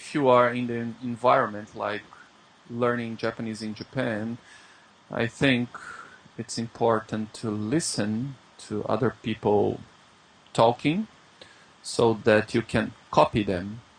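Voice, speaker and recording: A man speaks at a fairly slow pace in a Brazilian accent. His intonation is fairly even, with long, frequent pauses. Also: medium pitch for a man. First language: Brazilian Portuguese. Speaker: English teacher. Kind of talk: interview. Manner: halting.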